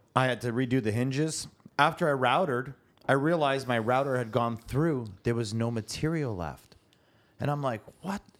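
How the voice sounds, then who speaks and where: A man with an ordinary speaking voice at medium pitch, ordinary pitch variation and a moderate pace. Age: 50s. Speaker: drywall tradesman and co-host. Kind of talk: casual chat.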